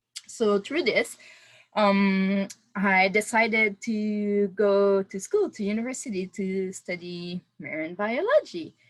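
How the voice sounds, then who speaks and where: Speaking very slowly with a Quebec accent, a woman uses a medium pitch and ordinary pitch variation. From Quebec City, Canada. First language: French. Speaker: oceanographer. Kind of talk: webinar talk. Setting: video call. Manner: halting, many fillers.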